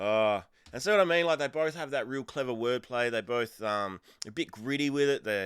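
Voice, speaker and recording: At a moderate pace, a man of medium pitch with an Australian accent uses lively intonation on a very clean recording with a silent background. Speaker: music reaction youtuber. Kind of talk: music reaction commentary. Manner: casual, hesitant with fillers.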